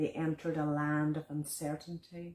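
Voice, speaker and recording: In a Donegal accent, a woman with a very deep, low pitch and a dark, mellow tone speaks in a monotone, flat way. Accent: Donegal Irish. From Ireland, County Donegal. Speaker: visual artist and poet. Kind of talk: poetry reading.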